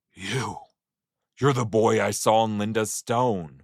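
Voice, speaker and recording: A man at medium pitch puts on a raspy character voice. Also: fairly slow pace. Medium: read story. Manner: sobbing, halting, repeating words.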